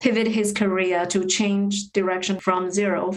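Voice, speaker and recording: A medium-pitched woman with a Chinese accent and fairly even intonation, audible room echo around her. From China. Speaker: podcast guest. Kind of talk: casual interview chat. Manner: hesitant, many fillers and repetitions.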